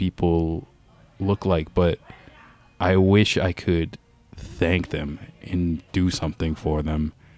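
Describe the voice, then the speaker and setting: In a dry, close sound with no echo, a man with a Canadian accent talks at a very slow pace in a dark, mellow tone with fairly even intonation. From Ontario, Canada. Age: 30s. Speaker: podcast host. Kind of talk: personal testimony.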